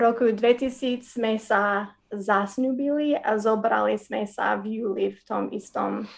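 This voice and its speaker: With an American accent, a woman speaks at a very slow pace in a fairly high pitch. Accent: American English accent in Slovak. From US, Wisconsin. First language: English (speaking Slovak). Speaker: missionary, former teacher. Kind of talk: interview testimony.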